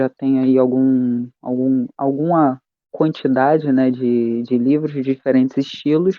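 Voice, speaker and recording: A man speaks very slowly in a medium-pitched, monotone, flat voice. His loudness stays very even. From Rio de Janeiro, Brazil. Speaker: history teacher and RPG game designer. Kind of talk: casual interview chat.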